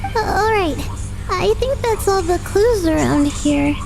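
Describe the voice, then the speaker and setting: A put-on character voice, extremely high in pitch, plays against loud music in the background. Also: fairly slow pace. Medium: game stream. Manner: calm, hesitant.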